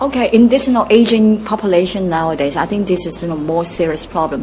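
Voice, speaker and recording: Lively intonation marks this woman's speech, heard over noticeable background noise. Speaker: social service director. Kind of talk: radio interview. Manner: hesitant with fillers.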